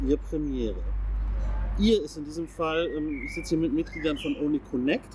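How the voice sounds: A man talks at a moderate pace with ordinary pitch variation. His tone is slightly mellow.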